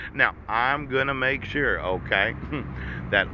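A man speaks at a very slow pace over noticeable background noise. The sound is dry, without echo. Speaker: vlogger. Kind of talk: monologue rant. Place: street. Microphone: phone near.

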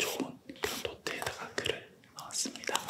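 A man whispering at a fairly slow pace. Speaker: university business professor. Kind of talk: ASMR whispered interview. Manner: whispered. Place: studio. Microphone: studio mic.

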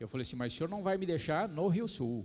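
This man speaks with very wide swings in pitch. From Brazil, São Paulo city. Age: old. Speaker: motivational speaker on happiness; keynote speaker. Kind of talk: lecture; motivational lecture. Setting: stage with audience. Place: hall. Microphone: handheld.

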